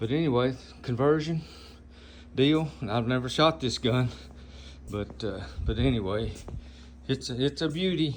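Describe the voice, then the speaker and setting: A man with an American accent speaks at a medium pitch with ordinary variation, vocal fry, and long, frequent pauses. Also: moderate pace. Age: 70s. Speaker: air gun customizer and video host. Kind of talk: casual show-and-tell video. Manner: halting, many fillers.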